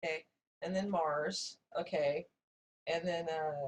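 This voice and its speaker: A woman's somewhat breathy, fairly low voice with ordinary pitch variation. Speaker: channel owner telling a personal story. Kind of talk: casual storytelling while drawing.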